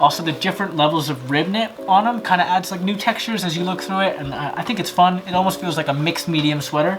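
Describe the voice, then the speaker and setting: Music plays behind a man speaking at a very fast pace with hardly any pauses. His pitch is high, with ordinary variation. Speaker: fashion designer YouTuber. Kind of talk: tutorial. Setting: home workroom. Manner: whispering; casual, rambling.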